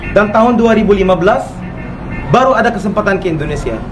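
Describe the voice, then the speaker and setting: Noticeable background noise and audible room echo fill the clip. A man's intonation through it is lively. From Egypt. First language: Arabic (speaking Indonesian). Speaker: comedian. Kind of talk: comic storytelling. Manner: casual slangy.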